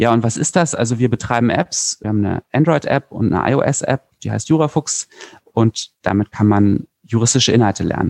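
A man with a plain, everyday voice speaks at medium pitch and a moderate pace with ordinary pitch variation, in a dry, close sound with no echo. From Berlin, Germany. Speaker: lawyer and startup founder. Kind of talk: interview. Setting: remote recording.

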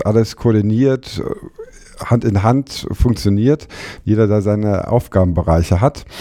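A man's fairly low, dark, mellow voice at a fairly slow pace, with ordinary pitch variation. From Germany, Frankfurt. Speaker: legal journalist and former lawyer. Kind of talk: casual interview.

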